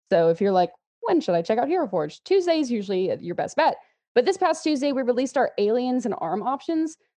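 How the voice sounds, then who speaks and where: This woman, with an American accent, talks at a very fast pace and a high pitch in a dark, mellow tone. Her pitch swings very widely. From Texas, Houston area. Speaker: social media manager at a miniatures company. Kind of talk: casual interview chat.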